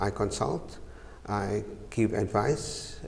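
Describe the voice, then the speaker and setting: Pitched fairly low, a man speaks at a very slow pace with audible room echo. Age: 60s. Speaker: chartered accountant, business director. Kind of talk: TV interview. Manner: hesitant, many uhs.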